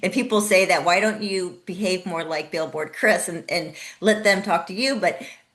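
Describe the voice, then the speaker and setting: A woman speaks at a medium pitch with an American accent. Noticeable background noise runs behind her. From Mexico City and San Diego (US). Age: 50s. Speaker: parent activist. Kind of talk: interview. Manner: soft-spoken.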